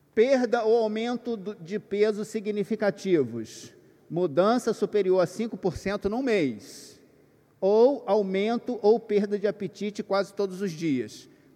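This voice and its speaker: The speaker is a man with a high voice and a dark, mellow tone. He moves very slowly, with ordinary pitch variation. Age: 50s. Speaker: workshop speaker for pastors. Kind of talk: lecture to a live audience. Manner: conversational, hesitant.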